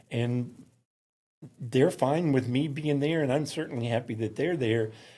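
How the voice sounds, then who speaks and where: Medium-pitched man with an American accent, a dark, mellow tone, ordinary pitch variation and a moderate pace. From US South, mountains of North Carolina. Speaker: synagogue security volunteer. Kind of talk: interview. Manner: halting.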